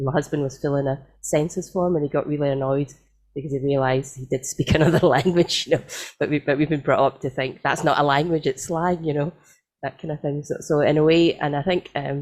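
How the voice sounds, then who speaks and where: In a strong Scottish accent, someone talks at a fairly quick pace with fairly even intonation. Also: woman, very deep, low pitch for a woman. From Scotland, Glasgow. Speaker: audience participant. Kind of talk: panel discussion. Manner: halting.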